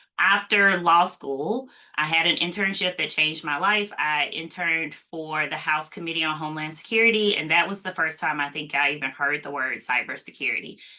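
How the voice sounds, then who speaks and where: A woman talks at a fairly quick pace with hardly any pauses. Her fairly low voice carries a slight Mississippi accent and ordinary pitch variation. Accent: slight Mississippi Southern. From US South, Mississippi. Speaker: cybersecurity policy expert, attorney. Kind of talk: live Q&A interview.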